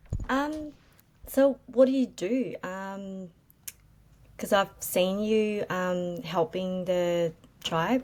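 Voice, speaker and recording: A woman speaks at a very slow pace, with long, frequent pauses. Her intonation stays lively throughout. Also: medium pitch for a woman. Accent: Australian. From Australia, Melbourne. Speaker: property flipper. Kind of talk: casual chat. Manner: hesitant, many fillers.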